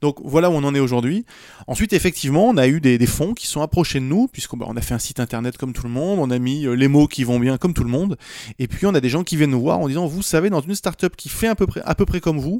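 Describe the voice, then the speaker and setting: Dark and mellow in tone, a man speaks at a fairly high pitch. He keeps a fairly quick pace. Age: 40s. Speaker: AI company cofounder. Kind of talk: casual interview. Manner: halting, many repetitions.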